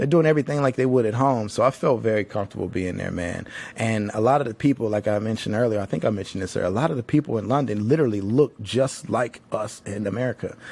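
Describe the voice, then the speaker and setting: A man talks at a very fast pace. His pitch sits in the medium range for a man, with ordinary variation. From Tennessee, Nashville. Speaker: podcast host. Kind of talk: casual monologue. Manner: casual, filler-heavy.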